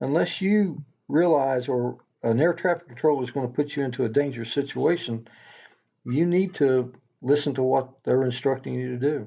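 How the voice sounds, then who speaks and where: In a Tennessee accent, a man talks at medium pitch with a dark, mellow tone and ordinary pitch variation against a quiet background. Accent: Tennessee drawl. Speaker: knife maker, former police officer and helicopter pilot. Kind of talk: podcast interview answer.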